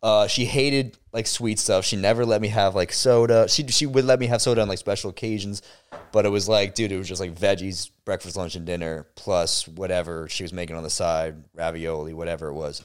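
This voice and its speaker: On a very clean recording with a silent background, a man with an ordinary speaking voice, fairly low in pitch, talks at a fairly quick pace with ordinary pitch variation. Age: 20s. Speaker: podcast co-host. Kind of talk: casual chat.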